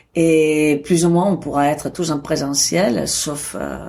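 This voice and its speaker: With a very deep, low pitch, a woman talks, her pitch varying in an ordinary way. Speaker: photography school director. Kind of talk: interview answer.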